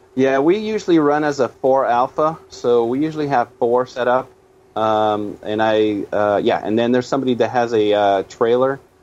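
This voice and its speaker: At a moderate pace, a man talks with a normal speaking voice. His pitch is medium, with ordinary pitch variation. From Canada. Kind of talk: casual chat.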